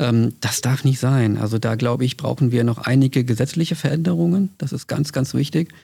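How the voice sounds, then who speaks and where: This man has a dark, mellow tone and is somewhat breathy. He hardly pauses at all. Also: medium pitch for a man, ordinary pitch variation, fairly quick pace. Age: 50s. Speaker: trade union official. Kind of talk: interview.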